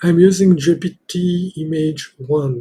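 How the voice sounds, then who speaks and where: A man speaks with fairly even intonation in a somewhat breathy voice. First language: not English. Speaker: software developer demonstrating own app. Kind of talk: software demo tutorial. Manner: halting, many fillers.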